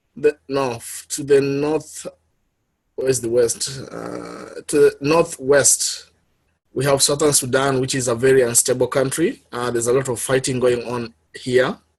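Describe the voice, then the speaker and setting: A man with a Kenyan accent, somewhat breathy, fairly slow, with fairly even intonation and big swings in loudness. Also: medium pitch for a man. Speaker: public health worker, guest speaker. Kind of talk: presentation talk. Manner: halting, many fillers.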